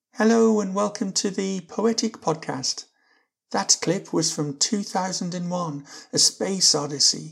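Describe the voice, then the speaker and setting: A woman with a normal speaking voice talks fairly slowly. Her pitch is medium, with ordinary variation. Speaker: podcast host. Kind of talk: interview, scripted intro.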